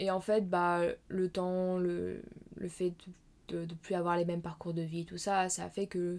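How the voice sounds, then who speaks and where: In a very clean recording with a silent background, a woman speaks with a fairly low pitch. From France, Normandy. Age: 20s. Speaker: illustrator and master's student. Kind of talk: casual interview. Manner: halting, many fillers.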